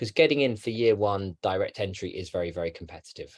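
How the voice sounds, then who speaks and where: A man speaks at a moderate pace in a London accent. The background is quiet. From London, England. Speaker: education advisor. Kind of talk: interview. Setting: webinar.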